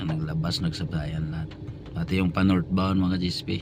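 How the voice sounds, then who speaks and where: Noticeable background noise and audible room echo surround a man with a very deep, low pitch. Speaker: driver vlogger. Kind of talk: casual vlog narration while driving. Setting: in a vehicle on the road. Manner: halting, many fillers.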